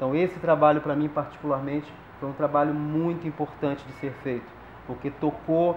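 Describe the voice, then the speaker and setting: A man at a moderate pace in a monotone, flat intonation, with audible room echo and light background noise. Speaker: theater director or teacher. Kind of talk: closing speech to audience. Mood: earnest, committed. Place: stage.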